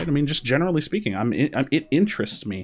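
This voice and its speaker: A man talks very fast with lively intonation. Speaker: gaming content creator. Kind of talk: casual commentary monologue. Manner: loud; animated.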